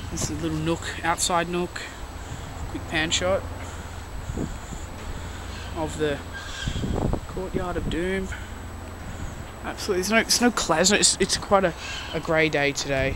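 Against noticeable background noise, with a dry sound and no echo, a man speaks at a high pitch and a moderate pace, leaving long, frequent pauses. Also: ordinary pitch variation. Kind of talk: casual vlog commentary. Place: factory. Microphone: phone near.

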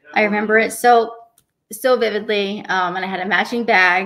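A woman speaks with fairly even intonation. The background is quiet. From Tucson, Arizona; Arizona. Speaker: professional bowler; podcast guest. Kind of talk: interview. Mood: warm, reflective. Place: home room. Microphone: earbuds.

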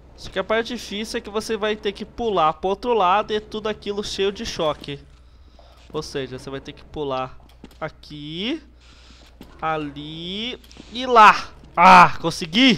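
A man with a Brazilian accent speaks in a high, raised, projected voice with a bright, sharp, animated tone. His intonation is lively, his loudness swings widely, and he leaves long, frequent pauses. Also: fairly slow pace. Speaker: gaming youtuber. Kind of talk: let's play commentary.

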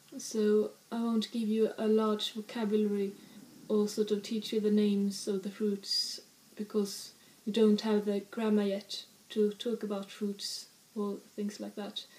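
Speaking at a fairly slow pace, a woman with a Swedish accent keeps her intonation monotone and flat. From northern Sweden. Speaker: language teacher. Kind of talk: language lesson. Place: home room. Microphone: webcam.

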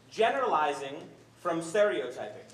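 The intonation is lively. A man speaks with audible room echo around him. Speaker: event host. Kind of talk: speaker introduction. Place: hall.

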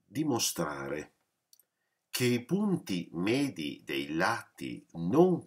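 A man talks with vocal fry and very wide pitch swings. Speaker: math teacher. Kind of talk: lecture. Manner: explanatory, with frequent hesitations.

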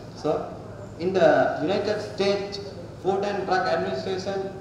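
A man with a high voice and ordinary pitch variation speaks fairly slowly amid strong room echo and light background noise. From Sri Lanka. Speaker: student researcher. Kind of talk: presentation. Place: hall. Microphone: podium.

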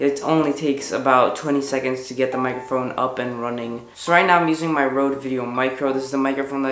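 Faint music sits in the background of this audible room echo, and the pitch varies in an ordinary way. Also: man. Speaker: tech reviewer. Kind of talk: product review vlog. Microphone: camera far.

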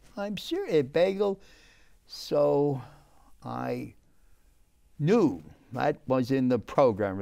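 Fairly high male voice with a New York accent against a quiet background. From New York City, the Bronx. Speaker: restaurateur; guest. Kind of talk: casual chat. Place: studio.

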